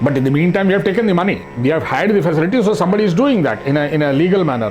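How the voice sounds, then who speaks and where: A man at a high pitch talks very fast with very wide pitch swings and very even loudness. Music plays in the background, and there is audible room echo. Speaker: arts society administrator. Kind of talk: interview.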